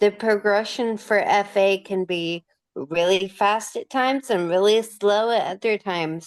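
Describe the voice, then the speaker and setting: A woman at medium pitch, very slow pace, quiet background. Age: 30s. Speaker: interviewee with rare disease. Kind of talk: interview. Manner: slurred speech.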